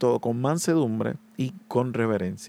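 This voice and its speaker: A man speaks with lively intonation. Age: 20s. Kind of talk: solo podcast monologue. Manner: hesitant, many filler sounds.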